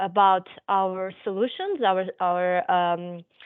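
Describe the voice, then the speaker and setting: A woman speaks with a Portuguese accent. Her pace is very slow. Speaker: physiotherapist presenting a webinar. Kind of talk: webinar presentation. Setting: online webinar. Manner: halting, many fillers.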